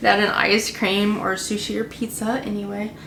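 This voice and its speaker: A woman speaks at a fairly slow pace, and audible room echo surrounds her voice. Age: 20s. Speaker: vlogger. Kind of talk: casual chat. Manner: halting.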